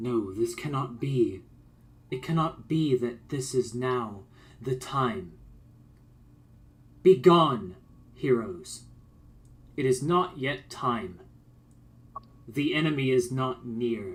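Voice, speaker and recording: A booming, put-on character voice moves at a very slow pace with long, frequent pauses and lively intonation. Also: man, medium pitch for a man. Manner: commanding, warning.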